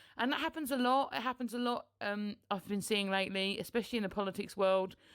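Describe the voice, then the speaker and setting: A woman with a British accent mumbles at a very fast pace, her medium pitch showing ordinary variation. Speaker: political podcaster. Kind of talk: solo podcast commentary. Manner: mumbling.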